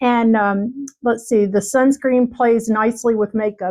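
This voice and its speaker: A woman's ordinary speaking voice, fairly high in pitch, with fairly even intonation and a moderate pace. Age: 60s. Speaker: beauty vlogger. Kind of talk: product unboxing review. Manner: casual with frequent fillers.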